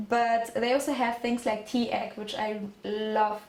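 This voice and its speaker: A woman's high voice at a fairly slow pace, with a German accent. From Germany. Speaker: exchange student. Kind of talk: presentation.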